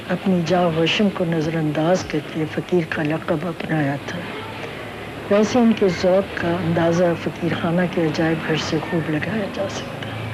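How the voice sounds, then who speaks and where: The woman's pitch is fairly low. Background noise is noticeable. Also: ordinary pitch variation. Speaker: descendant of a historic Lahore family. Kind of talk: narration. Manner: formal.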